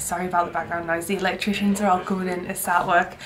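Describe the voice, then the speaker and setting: Noticeable background noise around a female speaker. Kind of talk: casual vlog chat. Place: home room.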